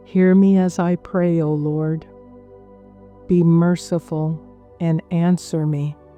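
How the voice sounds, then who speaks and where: A woman speaks with a fairly low pitch and a monotone, flat intonation while music plays in the background. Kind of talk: scripture reading for sleep. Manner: slow, calming.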